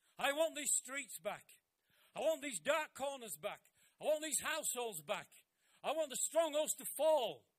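The speech moves at a moderate pace. It has long, frequent pauses and big swings in loudness. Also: man, extremely high pitch for a man, ordinary pitch variation. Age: 70s. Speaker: pastor. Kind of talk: sermon. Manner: animated.

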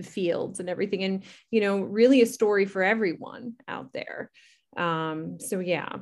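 On a very clean recording with a silent background, a woman talks at a moderate pace, her medium pitch showing ordinary variation. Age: 30s. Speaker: podcast co-host. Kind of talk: casual chat.

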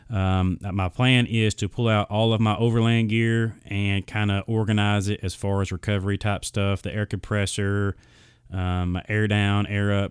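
Speaking at a moderate pace, a man uses a fairly low pitch with monotone, flat intonation. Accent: Southern US. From Arkansas, US South. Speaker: podcast host. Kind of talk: casual solo podcast monologue. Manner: rambling, filler-heavy, casual.

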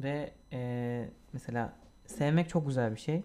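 At a very slow pace, a man talks in a dark, mellow tone with ordinary pitch variation. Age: 20s. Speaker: podcast co-host. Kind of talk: casual chat.

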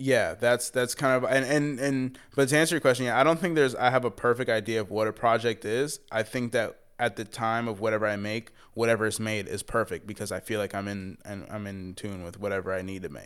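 Recorded very cleanly against a silent background, a man with an American accent and an unremarkable speaking voice talks at a fairly quick pace, with a medium pitch and ordinary pitch variation. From Tampa Bay, Florida. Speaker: hip-hop artist. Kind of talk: casual interview conversation.

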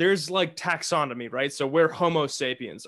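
With a normal speaking voice and an American accent, a man speaks at a fairly quick pace with ordinary pitch variation against a quiet background. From Massachusetts. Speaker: podcast host. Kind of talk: casual interview chat.

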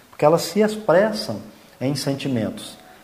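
Amid noticeable background noise and audible room echo, a man talks at a fairly slow pace with lively intonation. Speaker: spiritist podcast host. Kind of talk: religious reflection talk.

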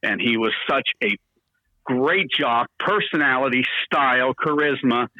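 Talking at a moderate pace in a medium pitch, a man has a plain, everyday voice. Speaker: morning radio DJ. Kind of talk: casual chat interview.

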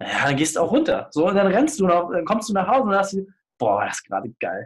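Here a man speaks high for his sex at a fairly quick pace. His pitch swings very widely. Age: 30s. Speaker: business consultant and podcaster. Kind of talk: casual interview.

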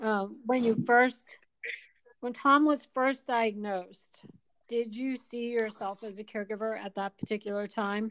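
With a normal speaking voice, a woman at a fairly high pitch speaks fairly slowly with fairly even intonation. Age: 50s. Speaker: podcast host and caregiver. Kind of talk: interview.

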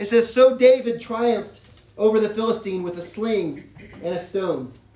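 Noticeable background noise is present. The voice carries an American accent. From Texas. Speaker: pastor. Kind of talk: sermon.

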